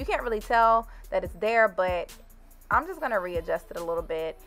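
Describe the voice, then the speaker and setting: A woman's voice with music in the background. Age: 20s. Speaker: beauty YouTuber. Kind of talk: hair tutorial talk to camera. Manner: casual, chatty.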